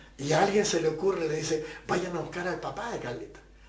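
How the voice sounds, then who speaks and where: Over noticeable background noise, a man talks at a very fast pace. Audible room echo surrounds his voice. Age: 70s. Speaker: pastor. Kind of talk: testimony.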